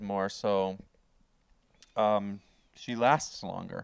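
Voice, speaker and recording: This is a man speaking. He has a Canadian accent. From Canada. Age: 40s. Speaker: comedian and podcast co-host. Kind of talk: casual chat. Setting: remote call.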